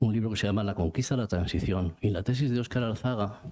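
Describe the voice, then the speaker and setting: Speaking at a fairly low pitch, a man shows ordinary pitch variation. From Spain, Vitoria (Basque Country). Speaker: book author. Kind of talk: book presentation talk. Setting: cultural centre event with audience. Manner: halting, many repetitions.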